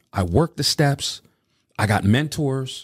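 This very clean recording, with a silent background, has a dry, close sound with no echo. A man with an American accent speaks at a moderate pace in a somewhat breathy voice with very wide pitch swings. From Reading, Pennsylvania. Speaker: DJ and voiceover artist. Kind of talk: life story interview. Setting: studio.

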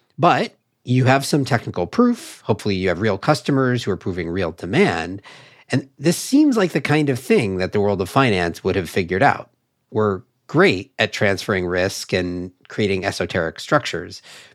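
A plain, everyday voice from a man, fairly low in pitch at a moderate pace, in a very clean recording with a silent background. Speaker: podcast host and climate tech investor. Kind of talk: interview conversation. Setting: studio.

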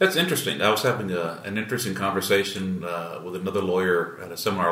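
A man with a very deep, low pitch and a bright, sharp tone, his intonation fairly even, with audible room echo. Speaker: trial lawyer podcast host. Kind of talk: casual chat. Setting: room at a conference.

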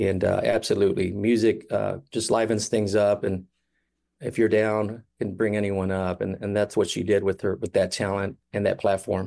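Speaking at a moderate pace over a quiet background, a man with a Midwestern US accent has a fairly low, dark, mellow voice and a monotone, flat intonation. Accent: US Midwest. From Kansas City, Missouri. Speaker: brother of a shooting victim. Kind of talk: radio interview. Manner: halting.

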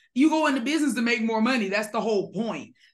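Her tone animated and somewhat breathy, a woman speaks. Audible room echo can be heard. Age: 30s. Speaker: business coach. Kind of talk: interview.

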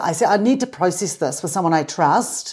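A woman speaks at a medium pitch with a New Zealand accent. The recording is very clean, with a silent background. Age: 50s. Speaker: mountain guide. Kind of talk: casual interview conversation.

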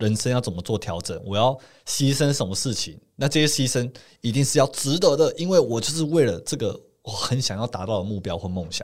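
Captured in a very clean recording with a silent background, a man with an unremarkable speaking voice and a medium pitch talks at a fairly quick pace with lively intonation. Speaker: podcast co-host, former engineer. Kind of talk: casual chat.

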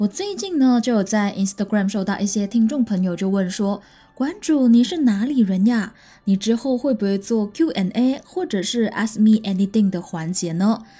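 With a dark, mellow tone and a somewhat breathy quality, a woman speaks at a fairly high pitch, moderate pace and ordinary pitch variation. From Malaysia. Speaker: podcast host. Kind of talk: true-crime storytelling narration; casual chat to listeners. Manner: friendly, chatty.

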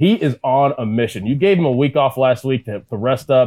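A man with an American accent talks at a fairly quick pace in an ordinary speaking voice. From Pittsburgh, Pennsylvania. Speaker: former pro football player, sports broadcaster. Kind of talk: casual chat.

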